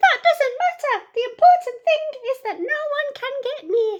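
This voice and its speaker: This put-on character voice is squeaky and extremely high-pitched, moving at a moderate pace. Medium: read story.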